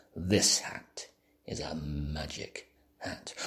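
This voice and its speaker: Whispering, a man puts on a character voice. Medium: read story.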